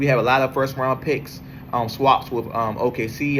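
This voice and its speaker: Here a man speaks with an American accent at a medium pitch. His pace is moderate and his intonation fairly even. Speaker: sports podcaster. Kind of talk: casual monologue. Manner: halting, many fillers.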